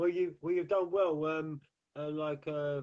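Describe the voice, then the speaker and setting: Speech at a moderate pace, with an English accent. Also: man. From England. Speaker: talk show host. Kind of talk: interview. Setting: live online video stream.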